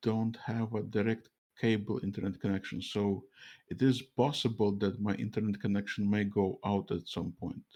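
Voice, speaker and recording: Speaking with a Russian accent, a man uses a fairly low, dark, mellow voice at a moderate pace with fairly even intonation. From Latvia, Russian diaspora. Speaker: streamer interviewer. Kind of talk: interview. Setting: live stream call over mobile internet.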